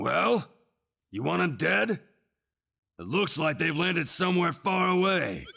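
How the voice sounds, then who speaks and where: In a raspy, high-pitched put-on character voice, a man speaks with long, frequent pauses. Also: moderate pace. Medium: video game. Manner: casual, dismissive.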